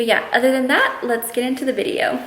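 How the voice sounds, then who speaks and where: Someone talks at a fairly quick pace with an American accent. Noticeable background noise runs under the speech. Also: woman. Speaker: beauty vlogger. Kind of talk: casual vlog Q&A. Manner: fast.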